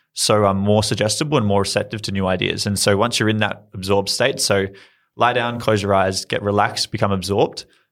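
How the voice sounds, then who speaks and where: Talking at a very fast pace, a man with an Australian accent keeps his fairly low pitch in fairly even intonation. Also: very clean recording, silent background. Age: 20s. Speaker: startup founder. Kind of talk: interview.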